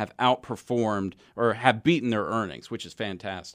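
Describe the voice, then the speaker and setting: A man with an American accent speaks at a fairly quick pace in an ordinary speaking voice. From Texas. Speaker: financial advisor, radio show host. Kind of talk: radio call-in show, explanatory talk. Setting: radio studio.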